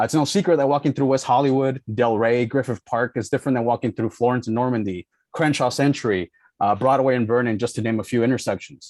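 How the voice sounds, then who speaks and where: This man talks at a very fast pace, his pitch medium with ordinary variation. The recording is dry and close with no echo, over a quiet background. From South Los Angeles. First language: Spanish. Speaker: community member giving public comment. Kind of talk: public testimony. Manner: hesitant, many fillers.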